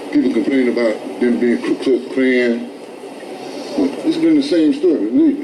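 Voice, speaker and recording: A man with long, frequent pauses, amid noticeable background noise and audible room echo. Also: moderate pace. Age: 70s. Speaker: protester, activist. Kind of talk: street protest speech. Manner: animated.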